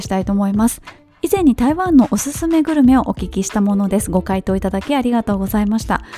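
Over music in the background, a woman speaks very fast in a fairly high pitch with lively intonation. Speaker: podcast host and marathon runner. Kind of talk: solo podcast talk reading listener mail. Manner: casual, chatty.

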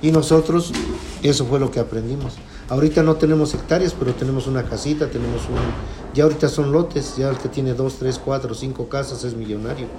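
There is noticeable background noise behind this man's fairly quick delivery. His pitch sits in the medium range, and his intonation stays fairly even. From Puebla, Mexico. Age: 50s. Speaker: farmer. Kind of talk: interview. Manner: halting.

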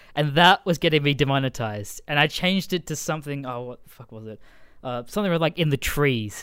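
A man with an Australian accent and a fairly high voice speaks very fast, with ordinary pitch variation and big swings in loudness. The recording is very clean, with a silent background. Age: 20s. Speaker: podcast host and comedian. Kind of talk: casual chat.

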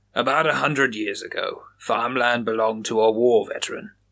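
A natural voice reading aloud

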